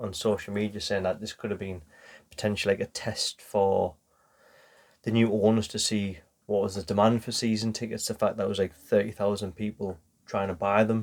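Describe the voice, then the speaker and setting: A man speaks with a Geordie accent at a fairly low pitch. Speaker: football podcast host. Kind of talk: casual chat.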